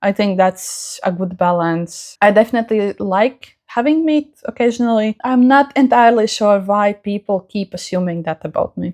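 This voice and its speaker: A woman at a fairly high pitch with a Latvian accent, ordinary pitch variation and a moderate pace, in a dry, close sound with no echo on a very clean recording with a silent background. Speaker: crafts YouTuber. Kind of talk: casual chat.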